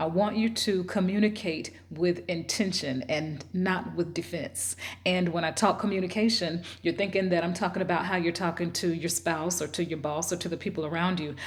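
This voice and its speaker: This woman's pitch is fairly low and her intonation fairly even. She speaks at a moderate pace. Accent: Southern US. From US South. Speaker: self-help video host. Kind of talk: motivational talk.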